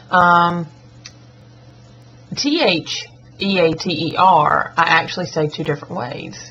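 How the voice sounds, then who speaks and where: The speaker has a Southern US accent. Pitch varies in an ordinary way. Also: woman. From US South. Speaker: schoolteacher and vlogger. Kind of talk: accent tag vlog. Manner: casual, chatty.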